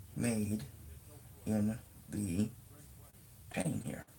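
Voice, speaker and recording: A man speaks very slowly in a somewhat breathy voice. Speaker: crochet vlogger. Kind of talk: tutorial. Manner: halting.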